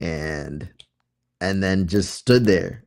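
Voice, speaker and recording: A very slow delivery with a slight Massachusetts accent, on a very clean recording with a silent background. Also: man. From Florida (born in Massachusetts, moved at about seven). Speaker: videographer and editor. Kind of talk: casual chat. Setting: livestream.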